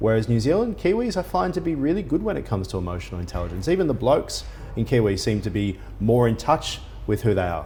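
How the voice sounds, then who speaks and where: Noticeable background noise sits behind the recording. A man with an Australian accent talks at a very fast pace. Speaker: business news interviewer. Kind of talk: interview.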